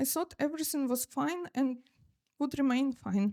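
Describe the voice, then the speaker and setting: A woman's high voice with ordinary pitch variation, in a dry, close sound with no echo. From eastern Ukraine, Luhansk. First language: Russian. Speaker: photographer and sociologist. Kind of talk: presentation at a cultural event. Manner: halting, many fillers.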